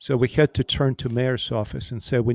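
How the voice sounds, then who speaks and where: This man speaks at a moderate pace with a Russian accent and a monotone, flat intonation. The sound is dry and close with no echo, on a very clean recording with a silent background. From Ukraine. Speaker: pastor. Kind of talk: panel discussion. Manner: halting.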